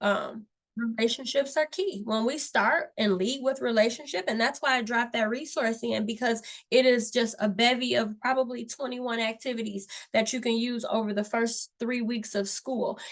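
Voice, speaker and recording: With a normal speaking voice, a woman talks at a moderate pace, her pitch fairly high and her intonation fairly even. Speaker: workshop facilitator for teachers. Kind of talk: online workshop presentation.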